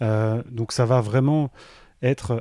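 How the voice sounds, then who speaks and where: In a very clean recording with a silent background, a man speaks very slowly in a dark, mellow tone with ordinary pitch variation. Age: 30s. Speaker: entrepreneur. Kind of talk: interview. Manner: hesitant, many fillers.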